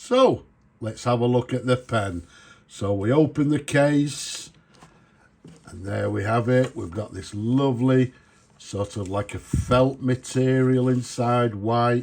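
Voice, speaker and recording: With a northern English accent, a man talks at a very slow pace. His pitch is medium, with ordinary variation. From northern England.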